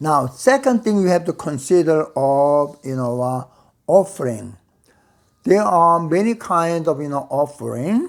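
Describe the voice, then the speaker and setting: On a very clean recording with a silent background, a man with a non-native accent speaks fairly slowly with lively intonation. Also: fairly high pitch for a man. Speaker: Bible teacher. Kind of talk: lecture. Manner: halting, many fillers.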